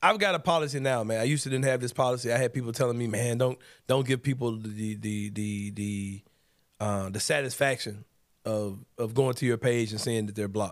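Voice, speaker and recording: An animated man with an American accent talks at a fairly quick pace and a medium pitch, with ordinary pitch variation, on a very clean recording with a silent background. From Memphis, Tennessee (US South). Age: 40s. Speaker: sports podcast host. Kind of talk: casual chat. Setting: studio.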